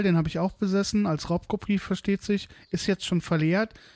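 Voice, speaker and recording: Speech at a moderate pace with ordinary pitch variation comes across with a dry, close sound and no echo. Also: man. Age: 30s. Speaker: podcaster, smallholder. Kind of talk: solo podcast monologue. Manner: casual, chatty.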